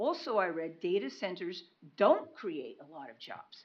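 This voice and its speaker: This woman talks loudly at a very slow pace. Her pitch swings very widely. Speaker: public commenter. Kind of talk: public comment at meeting. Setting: county commission meeting.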